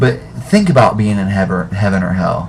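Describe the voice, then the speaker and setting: Noticeable background noise and audible room echo around a man's moderately paced speech. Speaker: video blogger. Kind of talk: monologue to webcam. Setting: webcam at home. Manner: halting, stammering. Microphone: webcam, poor quality.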